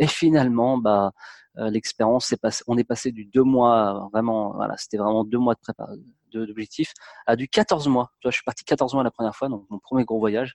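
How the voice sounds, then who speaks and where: A medium-pitched man at a moderate pace, with fairly even intonation and a dry, close sound with no echo. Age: 30s. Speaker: travel blogger. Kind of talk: interview. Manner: halting.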